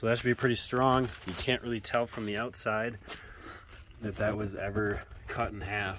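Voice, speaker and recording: A man's fairly low-pitched, monotone, flat voice at a moderate pace, with a dry sound, no echo and light background noise. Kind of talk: casual vlog chat. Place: street. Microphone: phone near.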